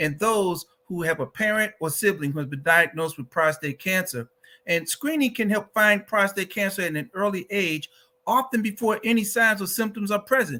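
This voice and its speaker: A man's high-pitched, raised and projected voice with a bright, sharp tone, lively intonation and an American accent, on a very clean recording with a silent background. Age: 60s. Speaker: advocacy organization director, cancer survivor. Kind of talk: advocacy talk.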